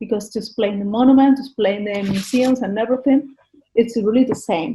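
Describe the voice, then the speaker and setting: A woman speaks in a Valencian accent with ordinary pitch variation. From Spain, Valencia. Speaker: tourist guide. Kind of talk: interview. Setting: video call. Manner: halting.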